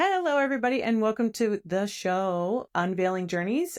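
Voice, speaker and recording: Upbeat and enthusiastic, a woman with a fairly high pitch talks at a moderate pace, her pitch swinging very widely, in a dry, close sound with no echo. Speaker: podcast host. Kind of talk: podcast interview host. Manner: upbeat, enthusiastic.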